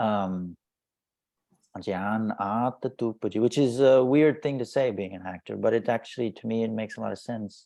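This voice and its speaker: Against a quiet background, a soft-spoken man talks at a moderate pace and medium pitch, his tone dark and mellow with ordinary pitch variation. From Indian (Bunt community, Tulu-speaking). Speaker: actor and social media influencer. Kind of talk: interview. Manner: halting, repeats words.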